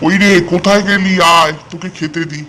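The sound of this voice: Putting on a cartoonish character voice, a man talks at a moderate pace with a high pitch and monotone, flat intonation.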